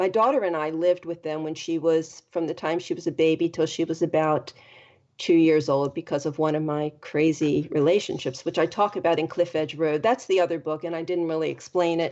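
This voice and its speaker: With fairly even intonation, a woman in a normal speaking voice talks at a fairly quick pace and fairly low pitch. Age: 60s. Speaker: life coach and podcast host. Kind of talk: interview.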